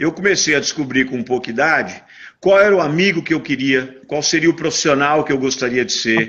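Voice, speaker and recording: With a normal speaking voice, a man talks at a moderate pace using lively intonation. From Brazil, São Paulo. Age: 60s. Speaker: businessman. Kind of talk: interview.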